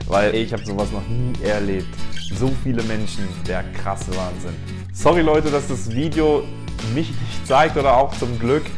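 Clear music plays behind a man who speaks at a fairly low pitch and a moderate pace, with long, frequent pauses. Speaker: travel vlogger. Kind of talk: casual vlog chat. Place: home room. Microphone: lapel.

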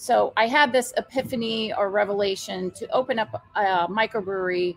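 Over a quiet background, a woman speaks at a moderate pace. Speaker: guest. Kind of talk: interview answer. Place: bar.

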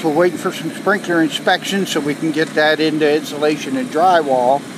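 Speech moves at a moderate pace with ordinary pitch variation. The sound is dry with no echo, though background noise is noticeable. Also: man. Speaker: construction site manager. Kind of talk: progress update. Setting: outdoors at building site. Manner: casual, frequent fillers. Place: street. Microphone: phone near.

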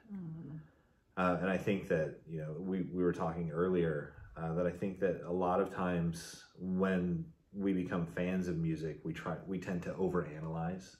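There is audible room echo around a man's voice. He speaks at a moderate pace with a very deep, low pitch and monotone, flat intonation. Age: 40s. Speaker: music fan; guest. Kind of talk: casual chat. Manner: halting. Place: home room. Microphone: camera far.

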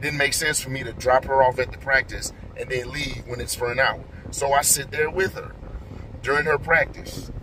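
The speech moves at a moderate pace with monotone, flat intonation over noticeable background noise. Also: man. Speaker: vlogger. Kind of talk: casual vlog chat. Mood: frustrated, reflective. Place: car. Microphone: phone near.

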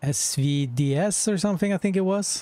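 A man's voice with ordinary pitch variation, dry with no echo, over light background noise. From northern Norway. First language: Norwegian. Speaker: gaming streamer. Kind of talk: casual chat. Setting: live stream. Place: home room. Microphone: headset.

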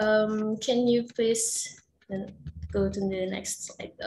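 A woman with an Indonesian accent speaks at a very slow pace in a medium pitch. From Java, Indonesia. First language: Javanese. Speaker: researcher. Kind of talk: paper presentation. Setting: video call.

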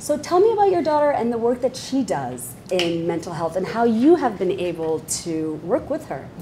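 A woman at a moderate pace with hardly any pauses and very wide pitch swings, over noticeable background noise. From Bangladesh. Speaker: podcast host and moderator; podcast host, moderator. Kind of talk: panel discussion. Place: hall. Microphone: lapel.

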